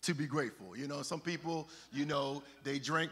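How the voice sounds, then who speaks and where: Here a man speaks with a bright, sharp tone. His intonation stays fairly even. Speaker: preacher. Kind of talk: sermon. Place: church.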